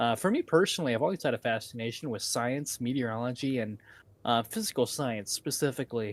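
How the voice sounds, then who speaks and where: Talking at a very fast pace, a man with an American accent uses a medium pitch and ordinary pitch variation. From northern Indiana, Wells County. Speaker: storm chaser and live weather streamer. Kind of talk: live weather coverage Q&A. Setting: live stream.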